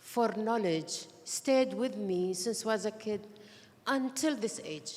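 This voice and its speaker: A woman with a plain, everyday voice speaks here. Her pitch is fairly high, with ordinary pitch variation. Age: 60s. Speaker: tech leader. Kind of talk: award panel remarks.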